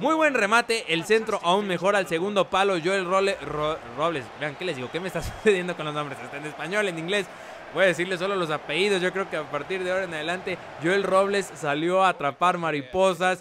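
A man with a high pitch speaks in an enthusiastic, animated tone over noticeable background noise. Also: ordinary pitch variation, fairly quick pace. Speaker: gaming YouTuber. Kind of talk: live sports commentary over video game footage. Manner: excitable, animated play-by-play with exclamations; fast, enthusiastic, pointing out players and plays.

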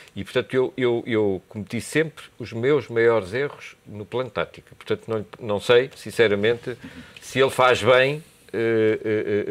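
A man talks with ordinary pitch variation. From Portugal. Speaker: university lecturer and commentator; university lecturer, commentator. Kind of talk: TV political debate. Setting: TV studio. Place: studio. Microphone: lapel.

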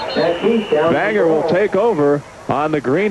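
Noticeable background noise behind a man's voice with ordinary pitch variation. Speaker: play-by-play sports announcer. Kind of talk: live football commentary, play-by-play. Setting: broadcast booth at a football game.

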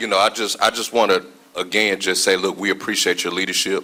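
The pace is very fast, in a Mississippi accent. Intonation stays monotone and flat. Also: man. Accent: Mississippi Southern American. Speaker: city councilman. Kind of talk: council meeting remarks. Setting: council chambers.

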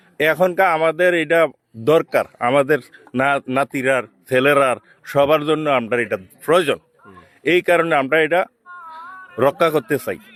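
Speaking with a strong Comilla accent, a man has a fairly high-pitched voice. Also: ordinary pitch variation. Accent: strong Cumilla dialect Bengali. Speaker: elderly villager. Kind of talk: on-the-spot interview. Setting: outdoors at a protest.

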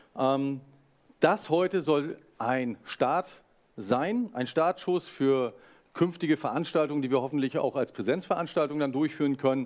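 The speaker has an ordinary speaking voice with ordinary pitch variation, set against a quiet background. The pace is fairly slow. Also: man, fairly high pitch for a man. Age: 40s. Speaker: foundation representative, moderator; moderator. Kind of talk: webinar moderation. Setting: webinar. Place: studio.

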